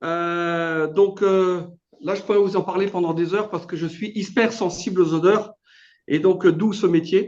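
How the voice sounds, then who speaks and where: A man with a high pitch speaks at a fairly slow pace. His intonation is fairly even, with a slight Alsatian accent. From Alsace, France. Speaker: business owner. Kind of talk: testimony. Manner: hesitant, many fillers.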